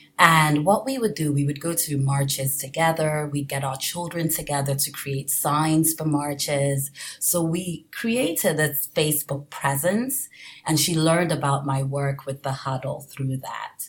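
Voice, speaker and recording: A woman with a very deep, low, somewhat breathy voice speaks at a fairly slow pace with fairly even intonation. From Nigeria. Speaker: political candidate for borough council. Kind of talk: casual interview.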